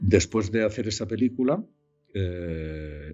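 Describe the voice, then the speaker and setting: Somewhat breathy, a man's voice moves at a fairly slow pace. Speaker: voice actor. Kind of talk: interview answer. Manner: hesitant, searching for words.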